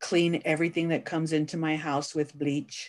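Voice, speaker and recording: A woman with an American accent speaks in a very deep, low pitch over a quiet background. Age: 60s. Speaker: activist. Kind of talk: oral history interview. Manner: halting.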